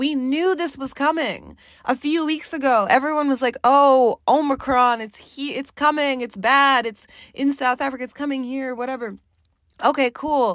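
In a very clean recording with a silent background, a woman speaks at a high pitch. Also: fairly even intonation, moderate pace. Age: 20s. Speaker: podcast host. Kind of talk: casual solo monologue. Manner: casual, filler-heavy.

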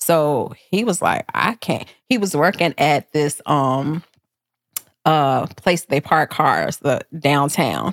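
A woman with an American accent, very deep, low pitch, vocal fry, ordinary pitch variation, very even loudness, and a very slow pace, in a dry, close sound with no echo. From Chicago. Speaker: realtor. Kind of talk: personal testimony in casual interview.

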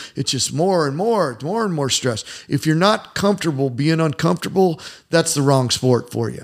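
A man with an American accent in a plain, everyday voice, fairly high-pitched, at a moderate pace. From US Midwest, Indiana. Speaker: martial arts coach and former fighter. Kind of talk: casual interview chat. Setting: in his gym.

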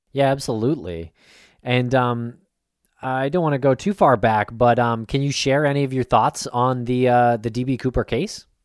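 A man has an unremarkable speaking voice at a medium pitch, with ordinary pitch variation. He talks at a moderate pace in a dry, close sound with no echo. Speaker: podcast host. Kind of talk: podcast interview.

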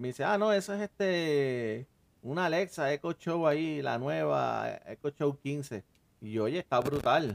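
A man's medium-pitched voice with lively intonation, an ordinary speaking voice. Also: dry, close sound with no echo. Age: 40s. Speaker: podcast host. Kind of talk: casual chat.

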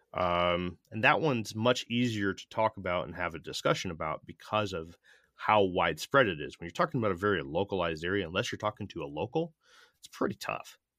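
In an American accent, a man talks at a fairly quick pace with a very deep, low pitch, lively intonation and a bright, sharp tone. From US Northeast, Connecticut. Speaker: podcast host. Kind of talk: scripted narration. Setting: video call.

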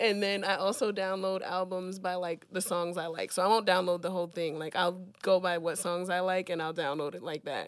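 A woman's normal speaking voice at a medium pitch, fairly quick, with fairly even intonation and hardly any pauses. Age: 20s. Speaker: music industry artist relations. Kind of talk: casual chat.

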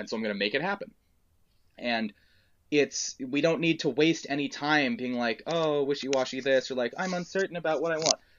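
Here is a man with an unremarkable speaking voice and fairly high pitch. He talks at a fairly quick pace. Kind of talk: casual chat. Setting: recording at home, sitting on a trunk.

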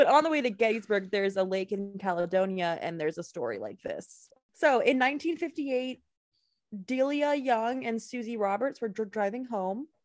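With a normal speaking voice, a woman talks at a moderate pace, her fairly high pitch carrying lively intonation. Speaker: podcast host. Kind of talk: casual chat, true crime storytelling. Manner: joking, playful.

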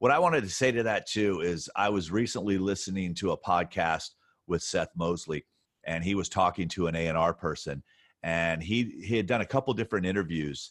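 This man's pitch is very deep and low, with ordinary variation. He keeps a moderate pace, and the sound is dry and close with no echo. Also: very clean recording, silent background. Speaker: podcast host.

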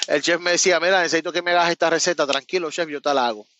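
In a Puerto Rican accent, a man talks with a bright, sharp tone at a fairly high pitch. His intonation is fairly even, and the sound is dry and close with no echo. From Puerto Rico, Cabo Rojo. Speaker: truck owner-operator, former chef. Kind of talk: casual interview chat.

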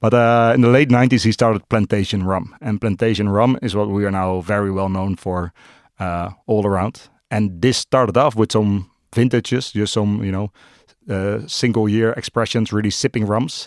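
In a very clean recording with a silent background, a man with a Dutch accent speaks at a moderate pace with a fairly low pitch and fairly even intonation. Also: dry, close sound with no echo. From Netherlands, Amsterdam. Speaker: drinks brand ambassador. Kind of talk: casual interview chat.

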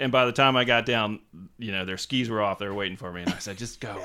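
An ordinary speaking voice: a man with an American accent, medium in pitch, with fairly even intonation. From US South, Savannah, Georgia. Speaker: magazine editor. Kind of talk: casual interview chat. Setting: office.

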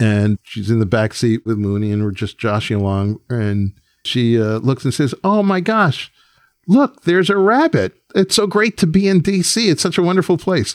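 Recorded very cleanly with a silent background and a dry, close sound with no echo, a man with an American accent speaks at a moderate pace, his medium pitch swinging very widely. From New York. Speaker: music producer and record executive. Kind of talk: interview storytelling.

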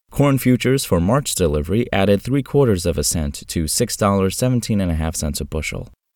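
A man's fairly low voice at a fairly quick pace, very wide pitch swings, and a very clean recording with a silent background. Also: hardly any pauses. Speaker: farm news presenter. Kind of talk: news reading, scripted market and weather report. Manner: steady, formal, even-paced delivery.

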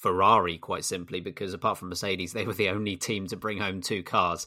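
A man with a British accent talks at a fairly quick pace in a bright, sharp tone. The recording is very clean, with a silent background. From Britain. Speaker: F1 podcast host. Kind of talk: casual chat.

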